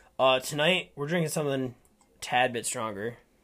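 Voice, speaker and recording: Speaking fairly quickly with an Upper Midwest accent, a man uses ordinary pitch variation. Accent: Upper Midwest American. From Minnesota, Rochester. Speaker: podcast co-host. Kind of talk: casual chat. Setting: studio. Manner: animated.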